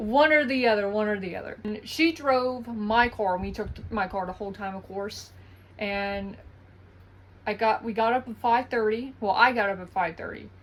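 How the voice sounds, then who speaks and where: Fairly high-pitched woman in an Eastern North Carolina accent, moderate pace, very clean recording with a silent background. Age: 20s. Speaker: vlogger. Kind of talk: casual vlog monologue.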